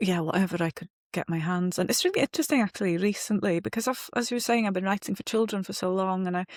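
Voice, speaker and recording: Speaking very fast at medium pitch with ordinary pitch variation, a woman is captured in a very clean, dry, close recording with no echo and a silent background. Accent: Welsh. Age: 40s. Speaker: novelist. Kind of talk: interview.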